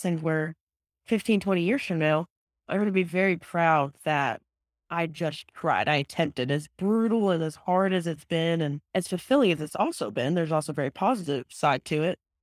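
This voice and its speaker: A woman with an American accent talks at a moderate pace in a fairly low pitch, with ordinary pitch variation and an unremarkable speaking voice. The recording is very clean with a silent background and a dry, close sound with no echo. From Texas. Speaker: professional golfer. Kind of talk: casual interview.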